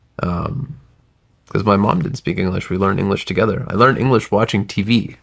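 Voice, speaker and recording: A man with an American accent talks at a fairly quick pace in a fairly low pitch. His pitch varies in an ordinary way, a plain, everyday voice. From US South (Alabama, then southern Virginia). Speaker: tech entrepreneur. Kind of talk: podcast interview.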